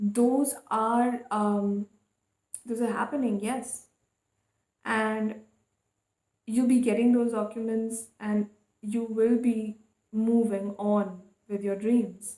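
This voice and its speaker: Very slowly and calmly, a woman speaks in a flat monotone with long, frequent pauses. Her fairly high-pitched voice has a dark, mellow tone. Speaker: tarot reader. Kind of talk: tarot reading monologue.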